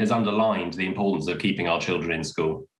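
Against a quiet background with audible room echo, a man speaks at a very fast pace in a fairly low voice. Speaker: school head teacher. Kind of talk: interview. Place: home room. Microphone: webcam.

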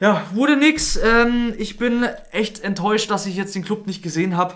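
Pitched high, a man speaks in a fairly bright tone with ordinary pitch variation. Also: moderate pace.

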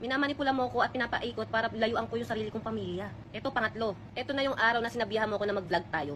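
Talking at a very fast pace, a woman keeps a fairly high pitch with ordinary pitch variation. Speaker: vlogger. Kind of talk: personal storytelling. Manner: stutter.

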